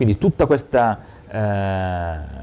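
Somewhat breathy, this man's voice has a dark, mellow tone. His pitch sits fairly low. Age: 40s. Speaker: local politician. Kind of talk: interview.

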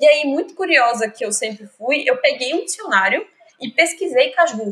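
Her intonation rises and falls in a lively way. The woman keeps a moderate pace. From Pernambuco, Brazil (Zona da Mata Norte). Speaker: literature graduate. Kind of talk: casual chat.

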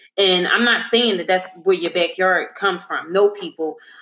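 A woman of medium pitch speaks at a moderate pace with fairly even intonation over noticeable background noise. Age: 30s. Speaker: podcast host. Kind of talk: casual discussion. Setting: live stream.

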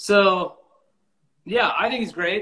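A man with an American accent speaks at a fairly slow pace. His tone is bright and sharp. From Lakewood, Washington, US Pacific Northwest. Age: 40s. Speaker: country musician. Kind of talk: casual interview chat.

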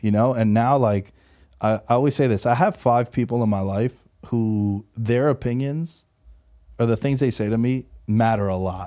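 With a New York accent, a man at medium pitch is heard in a very clean recording with a silent background. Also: ordinary pitch variation, moderate pace. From New York City, Queens. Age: 30s. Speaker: professional sports bettor and podcaster. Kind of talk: casual interview. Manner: animated.

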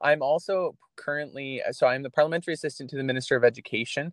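At a very fast pace, a man with a Canadian accent and a fairly high pitch speaks in a dry, close sound with no echo. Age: 20s. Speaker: provincial politician. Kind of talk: interview.

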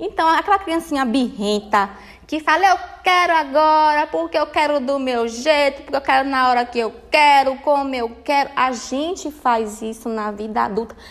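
Lively intonation in a woman's high voice. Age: 30s. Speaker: podcast host. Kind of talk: solo talk, informal self-help lecture. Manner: animated.

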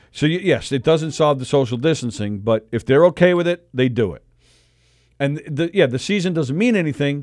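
A man with an American accent talks at a fairly quick pace with lively intonation in a normal speaking voice. The recording is very clean, with a silent background. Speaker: radio host. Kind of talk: casual chat. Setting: studio.

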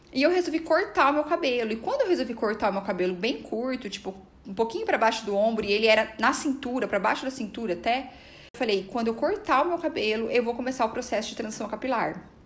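Over noticeable background noise, a woman speaks very fast at a fairly high pitch with lively intonation. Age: 30s. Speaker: psychologist and podcast host. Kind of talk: personal testimony monologue.

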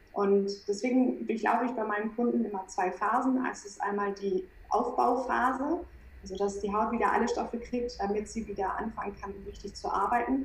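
Through noticeable background noise, a woman talks at a moderate pace with a fairly high pitch and ordinary pitch variation. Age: 30s. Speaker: skin coach. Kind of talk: interview.

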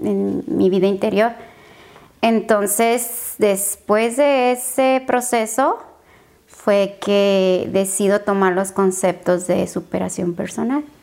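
This woman speaks at a very slow pace with a medium pitch. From Tijuana, Mexico. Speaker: beauty pageant winner. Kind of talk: interview.

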